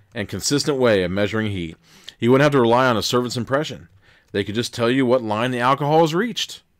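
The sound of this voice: This is an unforced reading voice. It is an unforced reading voice throughout.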